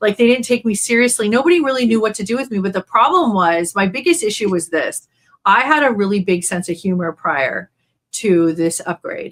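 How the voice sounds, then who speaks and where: Fairly quick speech in an American accent with very wide pitch swings. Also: woman, fairly high pitch for a woman. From East Los Angeles, US. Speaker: spiritual channel and shaman. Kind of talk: casual interview conversation.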